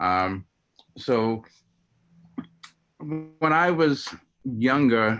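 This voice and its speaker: Lively intonation in an American accent. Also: man. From Long Island, New York. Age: 60s. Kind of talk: storytelling talk. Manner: halting.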